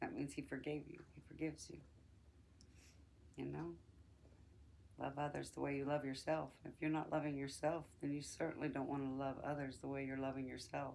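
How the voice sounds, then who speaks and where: A woman's very deep, low voice, fairly quick and fairly even in intonation, with long, frequent pauses and audible room echo. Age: 60s. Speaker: podcast host. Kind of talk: personal reflection monologue. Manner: conversational, with hesitations.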